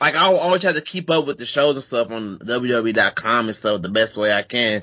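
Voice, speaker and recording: This is an unremarkable speaking voice from a man with an American accent. His pitch is medium. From US Midwest, St. Louis. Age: 20s. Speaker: professional wrestler. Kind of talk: interview.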